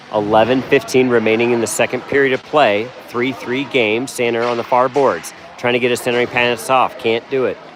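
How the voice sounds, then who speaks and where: A man's medium-pitched, flat monotone at a fairly quick pace with hardly any pauses, music in the background. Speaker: amateur hockey play-by-play commentator. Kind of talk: live commentary. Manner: casual, fan-like.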